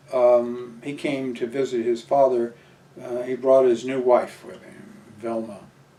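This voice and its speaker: Fairly slow, monotone, flat speech with an American accent, big swings in loudness and noticeable background noise. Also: man, medium pitch for a man. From Southern California. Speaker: military veteran. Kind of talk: oral history interview. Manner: halting, many fillers.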